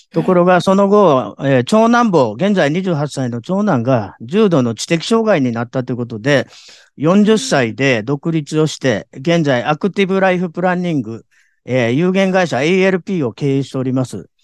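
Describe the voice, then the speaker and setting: A man talks at a moderate pace and a fairly high pitch. His pitch swings very widely over a quiet background. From Japan, Kobe. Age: 60s. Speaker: life planning consultant. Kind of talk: interview. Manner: polite formal.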